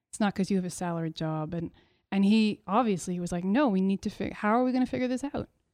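Speaking very fast in a Montreal accent, a woman has a medium pitch, a dark, mellow tone and ordinary pitch variation, recorded dry and close with no echo against a quiet background. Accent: Montreal anglophone Canadian English. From Quebec, Montreal. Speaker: artist. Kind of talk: interview conversation.

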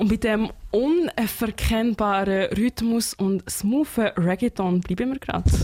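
A woman with a Swiss accent speaks at a very slow pace in a fairly high pitch, her pitch varying in an ordinary way over noticeable background noise. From Switzerland. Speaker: radio host. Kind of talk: radio music show. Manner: animated.

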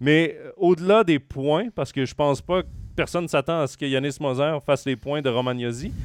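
A man with a Quebec accent, music playing in the background. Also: fairly high pitch for a man, ordinary pitch variation, moderate pace. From Quebec, Trois-Rivières. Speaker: hockey podcast host. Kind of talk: sports talk show. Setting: live stream with chat.

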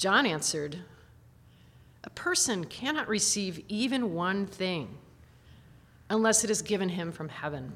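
Speaking at a fairly slow pace, a woman with a medium pitch uses lively intonation and leaves long, frequent pauses. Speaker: scripture reader. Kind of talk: reading aloud.

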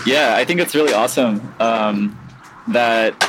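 With lively intonation, a man talks in an American accent over noticeable background noise. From US West Coast, San Diego. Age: 20s. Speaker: skateboarder. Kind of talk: casual interview. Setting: outdoors at a skate park. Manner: hesitant, many fillers.

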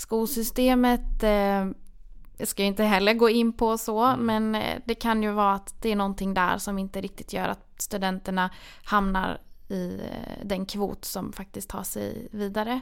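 The speech comes at a fairly slow pace with fairly even intonation on a very clean recording with a silent background. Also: woman, medium pitch for a woman. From Borlänge, Dalarna, Sweden. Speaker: dental student. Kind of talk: interview.

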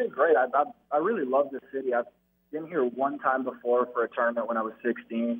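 Using an ordinary speaking voice, a man talks at a fairly quick pace. His pitch is medium and his intonation fairly even. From Toronto, Canada. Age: 20s. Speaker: baseball player. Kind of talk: interview. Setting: radio show.

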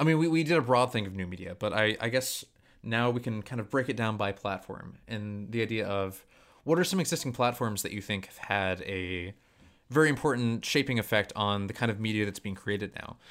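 At a fairly quick pace and with ordinary pitch variation, the speech comes through on a very clean recording with a silent background. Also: man, medium pitch for a man. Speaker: podcast co-host. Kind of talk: casual chat. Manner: fast.

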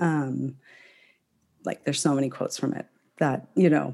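A woman speaks at a moderate pace with a dark, mellow tone and vocal fry. Her intonation stays fairly even. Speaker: author and independent scholar. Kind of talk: casual interview chat. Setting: remote recording. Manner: halting, many fillers.

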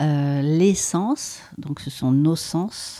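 Her voice is a woman's, pitched very deep and low. She has a dark, mellow tone with ordinary pitch variation. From French Alps (Maurienne, Savoie). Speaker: former dancer and choreographer, body-mind practitioner. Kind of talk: casual interview. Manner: hesitant, many fillers.

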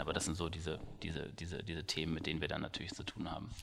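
A man talks at a very fast pace. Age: 30s. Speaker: startup founder. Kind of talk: interview.

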